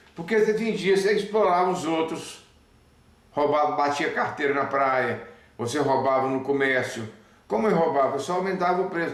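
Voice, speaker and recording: A man with a fairly high pitch and lively intonation at a moderate pace, with audible room echo and noticeable background noise. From Brazil, Belo Horizonte (Minas Gerais). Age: 60s. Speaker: spiritist speaker. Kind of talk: spiritual talk to camera. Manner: halting, with restarts.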